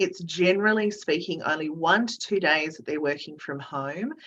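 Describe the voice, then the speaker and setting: In an Australian accent, a woman speaks with a fairly low pitch and ordinary pitch variation. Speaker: recruitment director. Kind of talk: webinar presentation Q&A.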